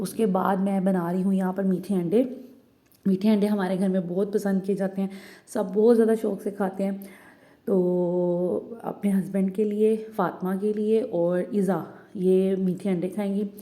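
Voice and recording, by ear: With a dark, mellow tone and little pitch movement, a woman speaks at a moderate pace. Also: medium pitch for a woman.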